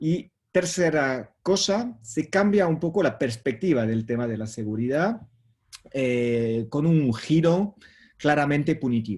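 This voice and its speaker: With a non-native accent, a man speaks fairly slowly at a fairly high pitch, his voice swinging very widely up and down. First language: French (speaking Spanish). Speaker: professor. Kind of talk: lecture. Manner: halting.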